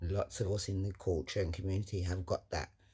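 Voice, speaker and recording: In a very clean recording with a silent background, a man with a London accent talks at a moderate pace, his fairly low voice somewhat breathy. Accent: London Multicultural English. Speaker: motivational vlogger. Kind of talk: motivational monologue. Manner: animated.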